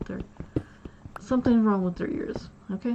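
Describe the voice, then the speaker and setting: A woman speaks with fairly even intonation. Noticeable background noise runs beneath her voice. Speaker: gaming streamer. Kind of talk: casual chat. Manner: monotone; halting.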